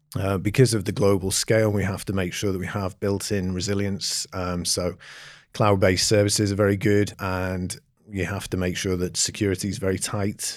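A man with an English accent speaks at a fairly low pitch and a moderate pace. His intonation is monotone and flat, on a very clean recording with a silent background. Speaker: company founder and CEO. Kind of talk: interview conversation. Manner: hesitant, many fillers.

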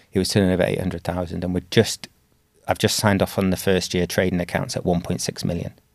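A man with an English accent speaks at a very fast pace. His very deep, low voice stays monotone, with flat intonation. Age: 40s. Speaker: dentist and practice owner. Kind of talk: interview conversation.

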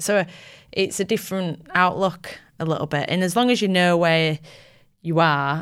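A woman with a Yorkshire accent, ordinary pitch variation and a moderate pace. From Yorkshire, England (Bramham, near Tadcaster). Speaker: triathlete. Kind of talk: casual interview chat. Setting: studio.

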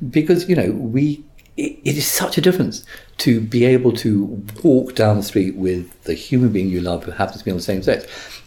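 Noticeable background noise runs under a man with an English accent. He keeps a moderate pace and lively intonation. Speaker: barrister. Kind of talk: interview.

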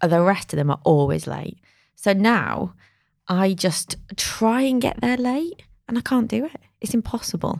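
A woman speaks at a fairly slow pace in a normal speaking voice, on a very clean recording with a silent background. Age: 40s. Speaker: market research agency founder. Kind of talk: casual chat.

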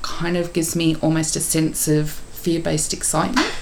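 Noticeable background noise and audible room echo surround a woman whose very deep, low voice holds a monotone, flat intonation. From Tasmania, Australia. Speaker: podcast co-host. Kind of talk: casual chat; on-location recording. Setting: office.

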